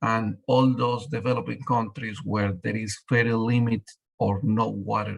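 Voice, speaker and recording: Using vocal fry, a man talks with ordinary pitch variation. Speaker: water treatment company representative. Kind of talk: webinar presentation.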